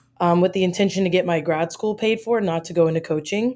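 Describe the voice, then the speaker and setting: In a very clean recording with a silent background, a woman speaks in an American accent with a normal speaking voice, medium pitch and ordinary pitch variation. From US, Maryland. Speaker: college basketball assistant coach. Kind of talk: casual interview.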